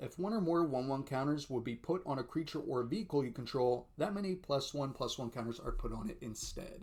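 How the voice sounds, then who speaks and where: A man talks at a fairly quick pace with hardly any pauses. His pitch is fairly high, with ordinary variation. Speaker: card game content creator. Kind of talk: unboxing commentary. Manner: animated.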